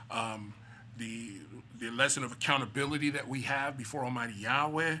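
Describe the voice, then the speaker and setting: A man with a bright, sharp tone speaks at a medium pitch, his intonation fairly even. There is audible echo in the room. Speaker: preacher. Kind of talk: bible study. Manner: halting, many repetitions.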